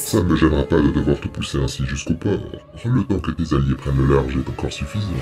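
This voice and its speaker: A man uses a put-on character voice at a very deep, low pitch. He talks very fast over clear background noise. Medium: audio drama. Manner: haughty, contemptuous.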